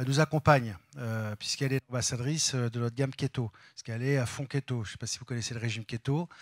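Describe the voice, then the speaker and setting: A man with a medium pitch speaks very fast in a very clean recording with a silent background and a dry, close sound with no echo. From France, Val d'Oise. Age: 50s. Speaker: company executive. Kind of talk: interview. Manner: halting.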